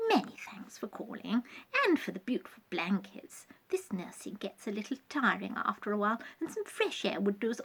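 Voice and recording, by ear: The text is read aloud in a natural voice.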